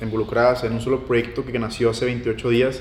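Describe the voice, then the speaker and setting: A man speaks at a fairly quick pace in a medium pitch, with noticeable background noise behind him. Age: 20s. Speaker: young entrepreneur. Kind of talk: casual interview.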